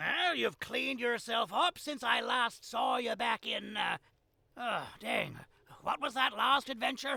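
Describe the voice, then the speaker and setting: At a fairly slow pace, a man performs a put-on character voice pitched extremely high. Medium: video game. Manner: friendly, folksy.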